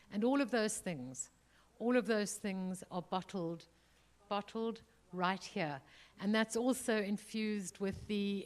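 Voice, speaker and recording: Speaking at a very slow pace, a woman with a South African accent uses a medium pitch and ordinary pitch variation. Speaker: museum chief executive, panelist. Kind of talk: panel discussion. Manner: halting, many fillers.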